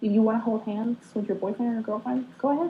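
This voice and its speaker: A woman's fairly high, somewhat breathy voice with a dark, mellow tone and fairly even intonation. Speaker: vlogger. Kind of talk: casual vlog monologue. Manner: rambling, hesitant with many ums.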